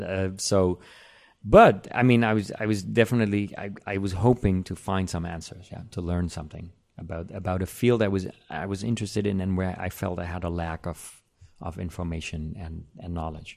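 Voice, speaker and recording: A man with a German accent and a very deep, low pitch speaks at a moderate pace with fairly even intonation and big swings in loudness, on a very clean recording with a silent background. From Germany. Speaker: composer. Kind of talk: interview. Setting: indoor room with air conditioning. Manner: halting.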